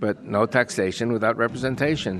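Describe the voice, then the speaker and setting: A man with an American accent and ordinary pitch variation. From US. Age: 70s. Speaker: activist speaker. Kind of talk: interview. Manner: fast.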